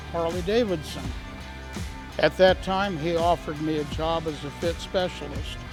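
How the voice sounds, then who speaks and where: A man with an American accent at a high pitch and moderate pace, with ordinary pitch variation and music in the background. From East Los Angeles, California. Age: 80s+. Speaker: motorcycle dealership fit specialist. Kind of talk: interview answer.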